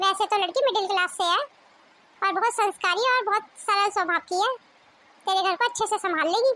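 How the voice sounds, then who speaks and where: A woman puts on a cartoonish character voice, extremely high-pitched and warm in tone, speaking at a fairly quick pace with very even loudness and ordinary pitch variation. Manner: warm, familiar.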